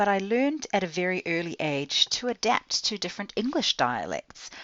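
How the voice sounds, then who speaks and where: With vocal fry, a woman's voice swings very widely in pitch. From Southern California then New Zealand from age eleven. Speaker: podcast host, language teaching educator. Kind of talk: podcast monologue.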